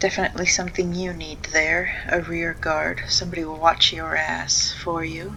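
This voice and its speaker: Quiet and with big swings in loudness, a woman talks at a moderate pace with hardly any pauses over noticeable background noise. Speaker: gaming video creator. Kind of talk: gameplay commentary. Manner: quiet and pensive.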